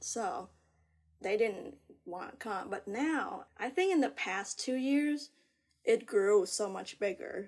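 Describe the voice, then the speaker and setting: At a very slow pace, a woman speaks at a fairly high pitch with very wide pitch swings and a Vietnamese accent. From Vietnam, Ho Chi Minh City. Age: 30s. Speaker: artist. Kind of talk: casual chat.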